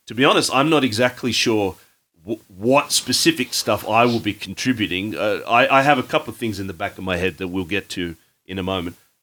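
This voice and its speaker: A man talks at a fairly quick pace with an Australian accent, lively intonation and a fairly low pitch. The recording is very clean, with a silent background. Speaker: podcast host and band vocalist. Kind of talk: casual chat. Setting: rehearsal space. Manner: chatty, talkative.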